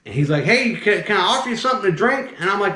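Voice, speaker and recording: Against noticeable background noise and audible room echo, a man with a slight Southern US accent speaks in an animated tone at a high pitch, his pitch swinging very widely. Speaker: snake handler and channel host. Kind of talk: casual storytelling.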